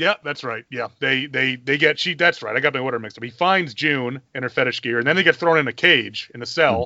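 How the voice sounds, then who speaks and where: A man with an American accent and a normal speaking voice, medium in pitch, at a fairly quick pace with ordinary pitch variation and hardly any pauses. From US South, South Carolina. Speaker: podcast host, film reviewer. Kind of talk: casual chat.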